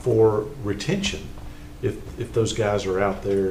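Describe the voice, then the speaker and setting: A man with an American accent speaks in a fairly low voice. Audible room echo and noticeable background noise come through. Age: 60s. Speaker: county commissioner. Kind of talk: budget meeting discussion. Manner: halting, many repeated words.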